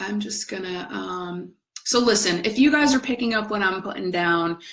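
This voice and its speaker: A woman talks in a plain, everyday voice. Her pitch is medium, with ordinary pitch variation. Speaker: spiritual coach. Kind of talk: live stream talk.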